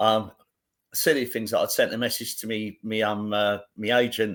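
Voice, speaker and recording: A man talks at a moderate pace in a London accent. His medium-pitched voice keeps a fairly even intonation. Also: very clean recording, silent background. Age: 50s. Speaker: actor. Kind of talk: casual chat. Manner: halting.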